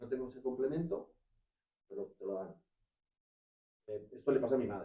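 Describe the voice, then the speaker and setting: A man is talking. He speaks at a fairly quick pace. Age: 50s. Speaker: audience member. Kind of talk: public Q&A at talk. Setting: live event in a venue.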